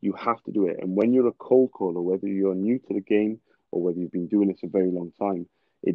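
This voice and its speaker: A man's fairly low voice in a British accent, with fairly even intonation. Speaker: cold caller, sales trainer. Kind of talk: casual podcast chat.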